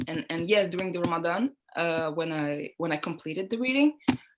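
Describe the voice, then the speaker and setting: A woman speaks with a French accent at a moderate pace. Her pitch is fairly low. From Niger and Montreal, Canada. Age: 20s. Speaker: model and student. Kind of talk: interview. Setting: video call. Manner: hesitant, many fillers.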